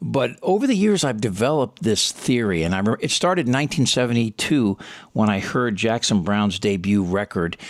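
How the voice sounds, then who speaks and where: A man with a normal speaking voice at a medium pitch, fairly quick, with lively intonation and very even loudness, in a very clean recording with a silent background. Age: 60s. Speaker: talk show host and comedian. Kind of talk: interview conversation. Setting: podcast.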